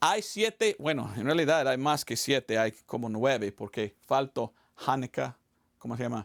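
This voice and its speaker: A man speaks in an American accent. The recording is very clean, with a silent background. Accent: non-native Spanish, American. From United States. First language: English (speaking Spanish). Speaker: evangelist missionary pastor. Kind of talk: sermon. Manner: halting, with repetitions.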